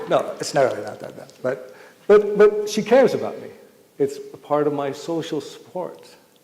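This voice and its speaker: A man speaks at a moderate pace, his loudness swinging widely, with noticeable background noise behind him. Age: 60s. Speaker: public health speaker. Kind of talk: public talk to community audience.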